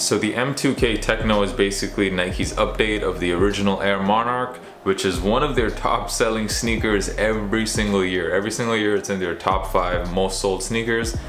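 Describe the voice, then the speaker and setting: A man at a moderate pace with hardly any pauses, with light background noise and audible room echo. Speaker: sneaker reviewer. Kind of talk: product review vlog. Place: home room.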